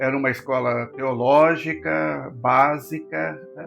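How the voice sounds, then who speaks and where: A man speaks with music in the background. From southern Brazil, Rio Grande do Sul. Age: 80s+. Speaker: pastor. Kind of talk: interview. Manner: halting.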